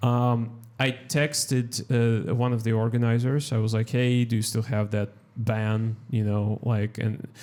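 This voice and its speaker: A man's medium-pitched, dark, mellow voice in a Russian accent, fairly slow and monotone, with flat intonation. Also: very even loudness. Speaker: stand-up comedian. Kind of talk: casual chat. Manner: halting.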